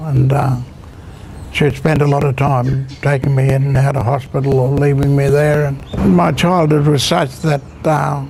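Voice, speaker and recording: Amid noticeable background noise and audible room echo, a man with an Australian accent speaks at a moderate pace in a fairly high voice with fairly even intonation. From Queensland, Australia. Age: 80s+. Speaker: grandfather telling life story. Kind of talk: personal storytelling interview. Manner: halting, many fillers.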